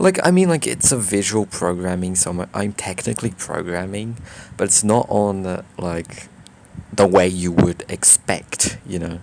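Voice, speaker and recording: The speaker has a slight non-native accent and ordinary pitch variation. Noticeable background noise runs underneath. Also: man, very deep, low pitch for a man. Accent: slight foreign accent in English. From Brazil. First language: Portuguese. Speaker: YouTuber. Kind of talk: casual vlog monologue. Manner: halting, many fillers and restarts.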